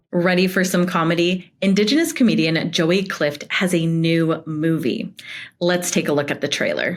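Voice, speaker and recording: Music plays in the background. The voice keeps fairly even intonation and very even loudness. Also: woman, fairly low pitch for a woman, moderate pace. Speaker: news anchor. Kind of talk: news anchor delivery.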